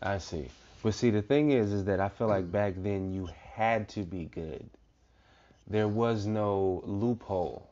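A man talks at a fairly slow pace in fairly low pitch. He has an ordinary speaking voice. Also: ordinary pitch variation. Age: 30s. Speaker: podcast host. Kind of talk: casual chat.

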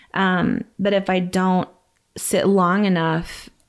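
A woman's voice, an unremarkable speaking voice, fairly low in pitch with ordinary pitch variation, on a very clean recording with a silent background. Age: 30s. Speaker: faith speaker. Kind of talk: casual chat.

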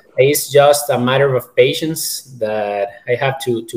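A man talks at a fairly slow pace and medium pitch in a plain, everyday voice. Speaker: limb lengthening patient. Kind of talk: casual panel discussion. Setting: video call.

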